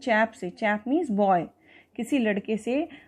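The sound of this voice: Here someone reads a text. The voice is an unforced reading voice.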